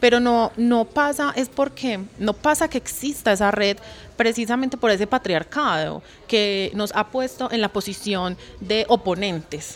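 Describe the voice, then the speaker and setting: A woman's unremarkable speaking voice, fairly high and fairly slow, with ordinary pitch variation. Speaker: activist. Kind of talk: casual chat. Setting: recorded at a clothing fair with crowd.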